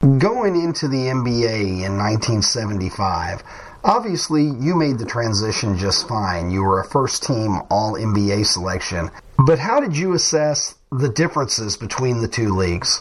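At a fairly slow pace and medium pitch, a man uses lively intonation over noticeable background noise. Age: 40s. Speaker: podcast host. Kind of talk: interview.

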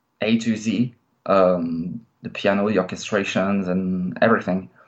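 A man speaks in a French accent. His pitch varies in an ordinary way. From France. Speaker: metal guitarist. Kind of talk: interview. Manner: halting, many filler sounds.

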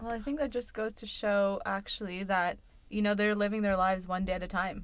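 A woman talks in an ordinary speaking voice at a medium pitch. Her intonation stays fairly even, and her pace is fairly quick. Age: 20s. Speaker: podcast co-host. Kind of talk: casual chat.

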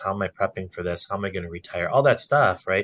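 Against a quiet background, a man with a normal speaking voice talks at a fairly low pitch with ordinary pitch variation. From Wisconsin, Milwaukee area. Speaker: financial advisor. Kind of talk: casual interview chat.

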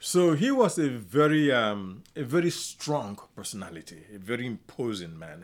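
A man with a southeastern Nigerian accent talks at a moderate pace and a medium pitch, with hardly any pauses. His pitch swings very widely and his loudness rises and falls sharply, all on a very clean recording with a silent background. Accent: Nigerian (Igbo-area) English. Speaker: chiropractor and author on kindness. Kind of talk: interview. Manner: halting, with frequent fillers.

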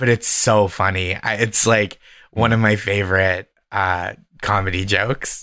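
A man with an American accent speaks at a fairly slow pace in a fairly low pitch, his bright, sharp tone delivered with monotone, flat intonation and very even loudness on a very clean recording with a silent background. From US, Boston area. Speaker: stand-up comedian. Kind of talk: casual chat.

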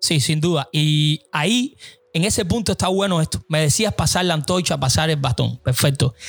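A man speaks at a moderate pace with a fairly high pitch and lively intonation, in a plain, everyday voice. The sound is dry and close with no echo, and his loudness stays very even. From Cuba. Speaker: podcast host. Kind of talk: interview conversation.

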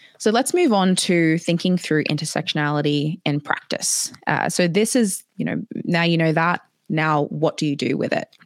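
This woman speaks with an Australian accent at a moderate pace. Her pitch sits fairly low and varies in an ordinary way. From Papua New Guinea and Australia. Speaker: DEI consultant and digital marketer. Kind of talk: webinar presentation. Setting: online video session with chat.

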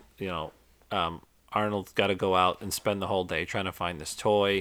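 On a very clean recording against a silent background, a plain, everyday voice proceeds at a moderate speed. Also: man. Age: 40s. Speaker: podcast co-host, father. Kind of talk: casual chat.

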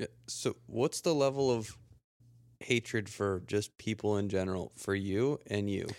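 A man with an ordinary speaking voice talks at a fairly slow pace, his fairly low pitch showing ordinary pitch variation. The sound is dry and close with no echo, on a very clean recording with a silent background. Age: 20s. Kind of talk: casual chat.

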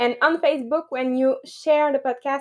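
The background is quiet as a woman speaks at a moderate pace. Her pitch is high, with ordinary variation. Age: 30s. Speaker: biologist. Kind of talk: presentation on a live group call. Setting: video call. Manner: giggly.

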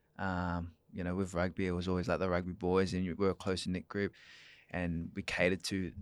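With an Australian accent, a man speaks at a fairly quick pace in a very deep, low pitch and monotone, flat intonation, the sound dry and close with no echo on a very clean recording with a silent background. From Perth, Western Australia. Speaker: run club founder and FIFO worker. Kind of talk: casual chat. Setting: studio.

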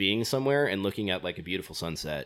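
An ordinary speaking voice from a man with an American accent, fairly low in pitch, with ordinary pitch variation on a very clean recording with a silent background. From US West Coast, California. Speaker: traveler, backpacker. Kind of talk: casual chat, podcast interview. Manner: casual, jokey, laughs often.

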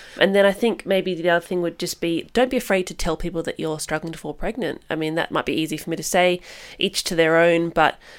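A woman speaks very fast in a fairly low voice, her intonation fairly even. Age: 30s. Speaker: registered nurse and mother. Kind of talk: casual interview, personal testimony.

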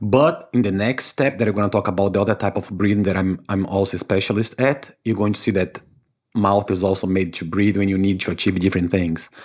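Talking at a very fast pace, a man uses a fairly low voice with a Brazilian accent. His intonation stays fairly even. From Brazil, Salvador, Bahia. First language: Portuguese. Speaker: breathwork instructor. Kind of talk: interview. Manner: warm.

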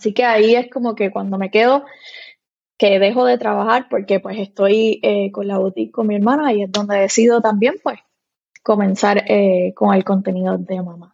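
Here is a woman with an ordinary speaking voice. She talks at a moderate pace with a medium pitch. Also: ordinary pitch variation. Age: 30s. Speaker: content creator and mom blogger. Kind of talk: casual interview chat.

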